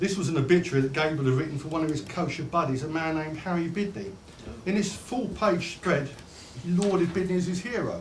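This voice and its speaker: Very fast speech with lively intonation against noticeable background noise. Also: man. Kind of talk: public speech to an audience.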